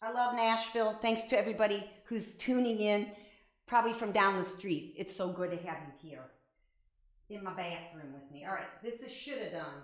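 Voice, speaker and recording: A woman with a Midwestern accent speaks at a medium pitch and a moderate pace, with ordinary pitch variation. Her loudness swings widely, and the room echo is audible. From Ohio, Avon Lake. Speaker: singer-songwriter. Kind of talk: casual live-stream chat. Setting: live stream from home bathroom. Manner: halting, many fillers.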